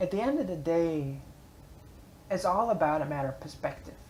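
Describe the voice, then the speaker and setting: A woman talks at a fairly quick pace with a very deep, low pitch. Background noise is noticeable, and room echo can be heard. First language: German. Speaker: vlogger and blogger. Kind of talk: casual motivational vlog monologue. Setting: public library space. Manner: hesitant, many fillers.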